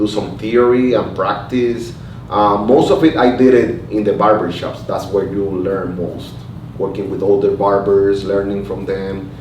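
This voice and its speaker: Fairly low male voice at a fairly slow pace, with fairly even intonation, audible room echo and noticeable background noise. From Puerto Rico. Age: 30s. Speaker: artist and barber. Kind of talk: oral history interview. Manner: halting, many fillers and repetitions.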